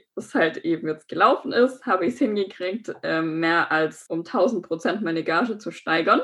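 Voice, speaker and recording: A woman speaks at a fairly slow pace. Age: 20s. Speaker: aspiring model and business informatics graduate. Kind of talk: interview.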